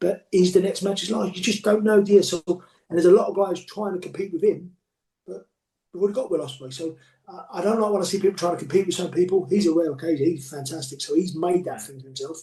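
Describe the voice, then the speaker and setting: Very fast, high-pitched male speech with big swings in loudness. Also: ordinary pitch variation. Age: 40s. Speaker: professional wrestler. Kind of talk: interview.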